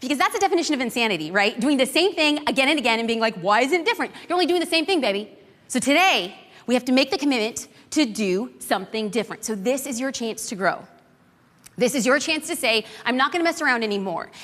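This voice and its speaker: A woman speaks at a very fast pace in a high, animated voice with very wide pitch swings. Noticeable background noise sits under the recording. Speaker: social media marketing instructor. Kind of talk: live class lecture. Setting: stage with audience.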